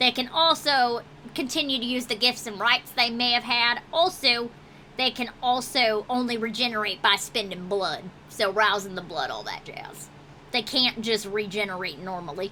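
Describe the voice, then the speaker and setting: Putting on a gruff character voice at a fairly high pitch, a woman speaks at a moderate pace with clear background noise. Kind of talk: tabletop game master character voice. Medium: actual play. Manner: gruff, profane, folksy.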